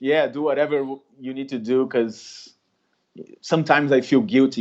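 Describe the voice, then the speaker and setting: A man speaks with a Brazilian accent. The background is quiet. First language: Portuguese. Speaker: street artist. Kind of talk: interview conversation. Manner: halting.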